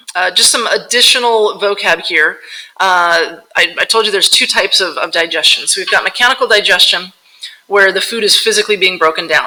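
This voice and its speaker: Her pitch sits in the medium range. This woman's voice shows ordinary pitch variation. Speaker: science teacher. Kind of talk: lecture. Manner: fast; casual and animated.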